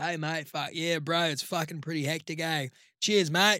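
A raspy, put-on character voice from a man in an Australian accent, fairly high in pitch, at a moderate pace, on a very clean recording with a silent background. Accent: thick Australian. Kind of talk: casual, slangy.

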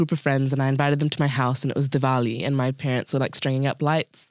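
Speaking at a very fast pace with fairly even intonation, a woman with a New Zealand accent has a very deep, low pitch, captured in a very clean recording with a silent background. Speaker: podcast guest. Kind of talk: casual chat. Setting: studio.

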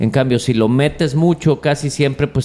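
With an ordinary speaking voice, a man talks at a moderate pace and with ordinary pitch variation. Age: 40s. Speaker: charro horseman and rope maker. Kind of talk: casual interview chat.

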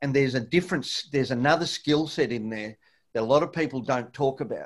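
A man with an Australian accent and a fairly high pitch, with ordinary pitch variation, in a very clean recording with a silent background. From Latin America, then Australia (Victoria). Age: 50s. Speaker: martial arts fighter and coach. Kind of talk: casual chat. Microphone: echo.

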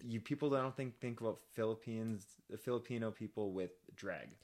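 The recording is very clean with a silent background, and a man speaks at a moderate pace with medium pitch, ordinary pitch variation and a plain, everyday voice. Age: 30s. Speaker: drag podcast co-host. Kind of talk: casual chat. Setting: studio.

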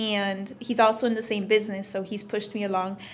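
A woman talks at a fairly quick pace with an American accent. Noticeable background noise is present. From Florida. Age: 20s. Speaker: entrepreneur. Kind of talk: interview. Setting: meeting room of a coffee shop.

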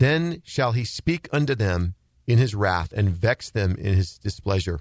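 An unremarkable speaking voice moves at a fairly slow pace with lively intonation, recorded very cleanly against a silent background. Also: man. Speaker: radio host. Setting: studio.

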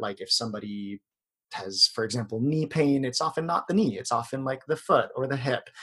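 A man with an American accent talks at a fairly quick pace in an ordinary speaking voice, his medium pitch showing ordinary variation. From US, Filipino American. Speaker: yoga instructor. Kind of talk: interview. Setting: video call.

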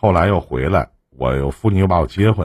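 A man's very deep, low voice with very wide pitch swings, at a moderate pace. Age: 40s. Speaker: emotional advice livestream host. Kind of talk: call-in advice show. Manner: casual, laughs often.

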